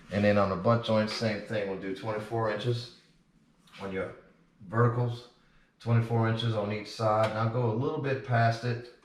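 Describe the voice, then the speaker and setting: A man with a medium pitch and an American accent, in a monotone, flat intonation at a moderate pace, with long, frequent pauses, audible room echo and noticeable background noise. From Louisiana, New Orleans. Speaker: drywall finisher and instructor. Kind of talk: tutorial. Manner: casual, with fillers.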